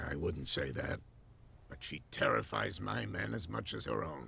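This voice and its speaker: A raspy, put-on character voice speaks at a moderate pace over clear background noise. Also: man, very deep, low pitch for a man. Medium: video game. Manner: genial, chuckling.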